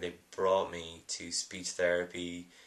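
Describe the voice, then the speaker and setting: A bright, sharp tone with an Irish accent. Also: man. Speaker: film producer. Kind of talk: video blog monologue. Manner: halting, many fillers.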